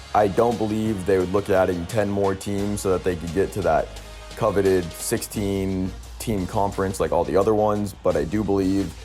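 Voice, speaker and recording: With music in the background, a man with an American accent speaks at a moderate pace in a very deep, low pitch. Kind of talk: sports commentary to camera. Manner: monotone.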